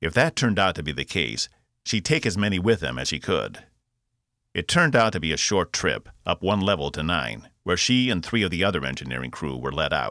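In a dramatic, bright and sharp tone with vocal fry, the voice moves at a fairly quick pace through very wide pitch swings on a very clean recording with a silent background. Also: man, very deep, low pitch for a man. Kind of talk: literary audiobook reading, scripted narration of a sci-fi novel. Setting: studio. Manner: steady, dramatic storytelling pace; shifts tone to voice characters, crisp commands, smooth villain.

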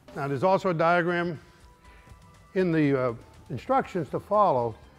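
A man with a high pitch, faint music in the background. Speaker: garage show host mechanic. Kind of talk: tutorial. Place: garage.

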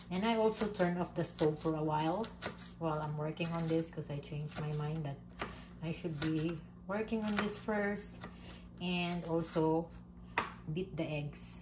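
Moderate pace with fairly even intonation, long, frequent pauses and noticeable background noise. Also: woman, fairly low pitch for a woman. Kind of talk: casual cooking vlog chat. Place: kitchen. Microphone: phone near.

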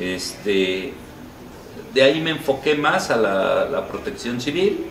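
A man talks with very wide pitch swings. Light background noise and audible room echo are present. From Mexico, Cholula (Puebla); Puebla, Mexico. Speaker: marching band association leader, teacher; teacher. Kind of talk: interview. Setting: restaurant. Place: cafe.

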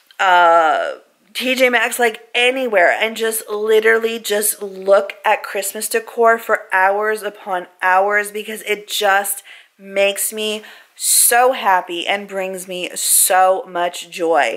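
Against a quiet background, a woman talks very slowly with ordinary pitch variation. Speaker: family vlogger. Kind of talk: casual vlog chat. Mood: happy, then reflective. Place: home room. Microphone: phone near.

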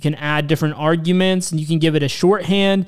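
In a quiet background, a man talks with fairly even intonation. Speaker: programming tutorial host. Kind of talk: tutorial. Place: home room. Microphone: studio mic.

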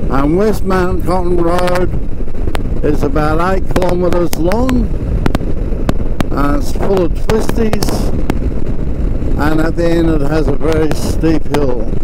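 A man speaks with long, frequent pauses, the sound dry with no echo but with loud background noise. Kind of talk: casual vlog chat. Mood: excited, new licence. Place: motorbike.

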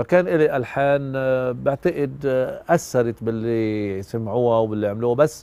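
A man talks at a fairly slow pace with ordinary pitch variation and hardly any pauses, the sound dry with no echo. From Lebanon. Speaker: musician and composer. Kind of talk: documentary interview. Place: garden. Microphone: lapel.

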